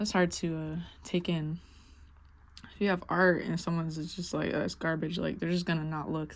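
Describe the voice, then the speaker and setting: A woman speaks at a fairly quick pace in a fairly low pitch, on a very clean recording with a silent background. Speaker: visual artist and musician. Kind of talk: casual monologue while painting. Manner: loud; casual, many fillers and false starts.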